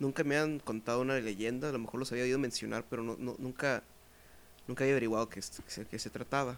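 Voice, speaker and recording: A man with a Mexican accent speaks at a very fast pace. His intonation is fairly even. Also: medium pitch for a man. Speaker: podcast host. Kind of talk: casual chat.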